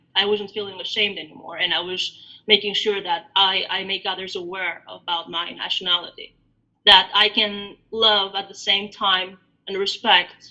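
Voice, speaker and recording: An Albanian-accented woman's medium-pitched voice, bright and sharp in tone, flat and monotone in intonation. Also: moderate pace. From Greece, born in Albania. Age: 40s. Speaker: diaspora interviewee. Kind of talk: interview. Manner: hesitant, many fillers.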